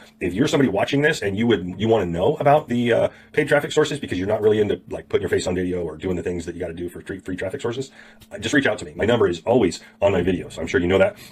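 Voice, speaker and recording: A man speaks very fast in a fairly low, somewhat breathy voice with lively intonation. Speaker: online marketing tutor. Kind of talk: tutorial. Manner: casual, chatty.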